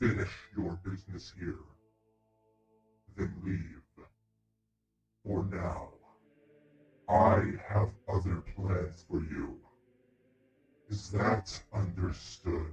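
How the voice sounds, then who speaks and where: A man uses a put-on character voice, very deep and low in pitch with a menacing tone. He speaks very slowly, with long, frequent pauses. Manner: commanding, menacing.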